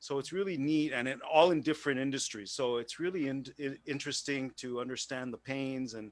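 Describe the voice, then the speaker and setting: At a fairly quick pace, a man speaks with hardly any pauses. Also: medium pitch for a man, ordinary pitch variation. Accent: Quebec. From Quebec, Montreal. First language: French. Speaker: business owner networking participant. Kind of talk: casual chat. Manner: halting.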